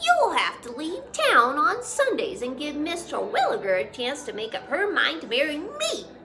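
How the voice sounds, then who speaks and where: A woman's put-on character voice, extremely high with very wide pitch swings and big swings in loudness, at a moderate pace over clear background noise. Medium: read story. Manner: folksy, boastful.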